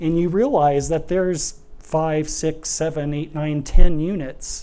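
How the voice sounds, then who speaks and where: Audible room echo surrounds a man with a Midwestern accent speaking in a fairly high pitch. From Nebraska, US Midwest. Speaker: architect and urban planner. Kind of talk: public lecture.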